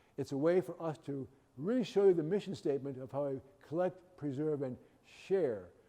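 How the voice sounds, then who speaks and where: A man's dark, mellow tone with lively intonation. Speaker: museum program director. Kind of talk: guided tour talk. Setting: museum gallery. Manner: fast.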